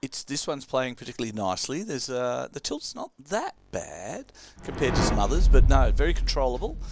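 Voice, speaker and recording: A man with an Australian accent talks at a fairly quick pace, his loudness swinging widely. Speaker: pinball commentator. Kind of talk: live commentary.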